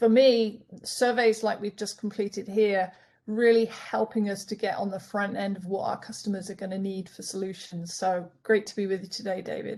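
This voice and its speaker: A woman with a European accent speaks at a moderate pace and a medium pitch, her tone dark and mellow. Her intonation stays monotone and flat while her loudness swings widely. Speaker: customer experience solutions specialist. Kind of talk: panel webinar discussion.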